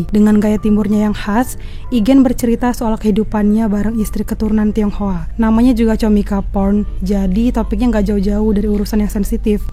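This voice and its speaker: With music playing in the background, a woman speaks at a fairly high pitch in a flat monotone, with very even loudness and hardly any pauses. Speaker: reporter. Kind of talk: comedy event review voice-over. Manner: soft-spoken.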